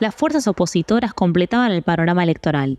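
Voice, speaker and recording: At a fairly quick pace, a woman talks in a dark, mellow tone of medium pitch with lively intonation, recorded dry and close with no echo against a quiet background. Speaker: podcast narrator and producer. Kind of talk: scripted narration.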